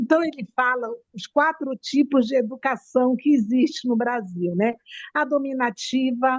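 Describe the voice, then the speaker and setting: A woman's high-pitched voice in a Manaus accent, with ordinary pitch variation and a quiet background. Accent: Manaus accent, noticeable. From Brazil, Manaus (Amazonas). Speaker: audience participant. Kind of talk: casual chat.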